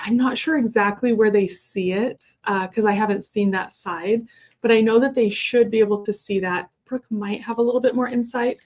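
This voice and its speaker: This woman has a fairly high pitch. Her intonation stays fairly even. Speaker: online Q&A host reading viewer questions. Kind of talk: live Q&A stream. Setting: live stream. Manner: fast.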